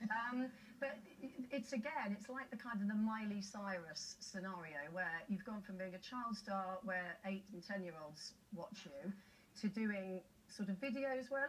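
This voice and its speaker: Speaking in a British accent, this is a woman. Her pitch is medium. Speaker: TV talk show host. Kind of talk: TV talk show interview.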